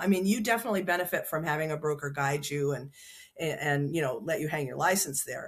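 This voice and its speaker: A woman in an American accent speaks at a fairly quick pace, sounding somewhat breathy. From upstate New York. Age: 70s. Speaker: realtor. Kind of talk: interview. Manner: halting.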